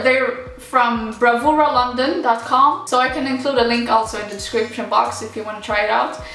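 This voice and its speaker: Over background music and audible room echo, a woman with a Swedish accent talks at a moderate pace in a high pitch. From Morocco. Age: 20s. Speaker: YouTuber. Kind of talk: Q&A vlog. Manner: casual, rambling.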